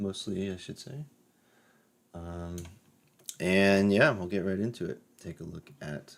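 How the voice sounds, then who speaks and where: Speaking at a fairly slow pace with long, frequent pauses, the man has a very deep, low voice. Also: ordinary pitch variation, big swings in loudness. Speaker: Bible study teacher. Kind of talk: Bible study. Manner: casual, with fillers.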